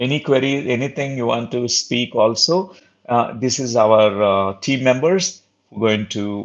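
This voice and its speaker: A man with a Telugu accent, at a fairly slow pace and with ordinary pitch variation. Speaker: spiritual teacher. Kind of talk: online spiritual talk. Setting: live online session. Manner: halting, many fillers.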